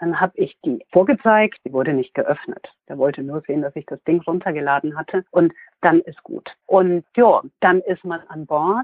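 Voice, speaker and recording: A woman with an unremarkable speaking voice and a fairly low pitch talks at a moderate pace, with ordinary pitch variation and big swings in loudness. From Hesse/Franconia, Germany. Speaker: cruise company sales employee. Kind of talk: interview.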